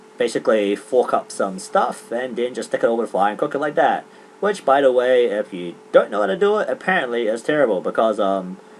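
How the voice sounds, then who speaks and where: Over noticeable background noise, a man talks at a fairly quick pace with hardly any pauses, his medium pitch swinging very widely. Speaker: gaming commentator. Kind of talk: casual chat. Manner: halting, many fillers; fast.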